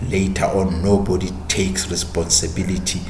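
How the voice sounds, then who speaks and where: A man's very deep, low voice at a fairly slow pace, with audible room echo and noticeable background noise. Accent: South African. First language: Sotho. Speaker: podcast host and history narrator. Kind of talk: history talk.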